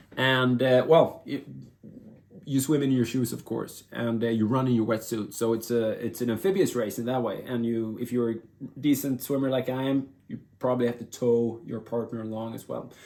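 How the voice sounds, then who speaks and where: A moderate pace and fairly even intonation with a Swedish accent. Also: man, medium pitch for a man. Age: 50s. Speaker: vlogger and former elite endurance athlete. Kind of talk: casual vlog monologue. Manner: halting, many fillers and restarts.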